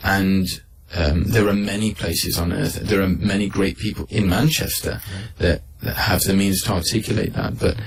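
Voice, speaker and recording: At a moderate pace, the speaker talks over noticeable background noise. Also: man. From Manchester, England. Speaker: Islamic scholar. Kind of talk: radio interview answer.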